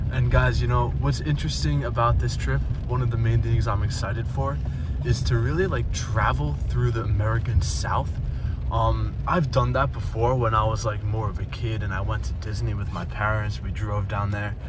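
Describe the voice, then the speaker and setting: Noticeable background noise sits behind the speech. The sound is dry with no echo, and the pace is moderate. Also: man. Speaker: travel vlogger. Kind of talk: casual vlog chat. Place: car.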